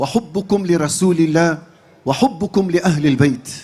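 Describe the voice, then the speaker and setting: This is a man speaking. His pitch is high. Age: 60s. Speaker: Islamic preacher and imam. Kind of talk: sermon to a large gathering. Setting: large religious gathering.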